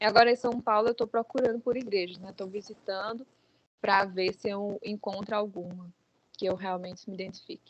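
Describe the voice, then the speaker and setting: In a dry, close sound with no echo, a normal speaking voice moves at a moderate pace with fairly even intonation and big swings in loudness. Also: woman, medium pitch for a woman. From Brazil (João Pessoa, Paraíba), born in Guinea-Bissau. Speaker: author. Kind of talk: interview.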